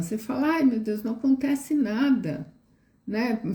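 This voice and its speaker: A woman's somewhat breathy voice carries a dark, mellow tone. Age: 60s. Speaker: educator. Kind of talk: live stream talk. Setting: live stream.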